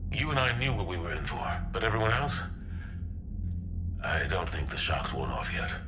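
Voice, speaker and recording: Loud background noise runs under a man's put-on character voice. It is very deep and low, delivered at a moderate pace. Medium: short film. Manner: gruff, steady, dry.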